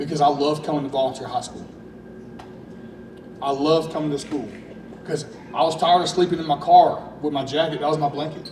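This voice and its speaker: Talking at a fairly quick pace with long, frequent pauses, a man with an East Tennessee accent keeps a monotone, flat intonation at a fairly high pitch, amid audible room echo and noticeable background noise. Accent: East Tennessee Southern US. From Louisiana, then East Tennessee. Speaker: high school football coach. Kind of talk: emotional press conference speech. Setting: school event with audience. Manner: halting.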